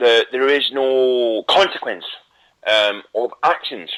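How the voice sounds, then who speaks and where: The accent is Scottish. The pace is very slow. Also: man. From Scotland. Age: young. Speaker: internet radio host. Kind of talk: casual talk show monologue. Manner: animated.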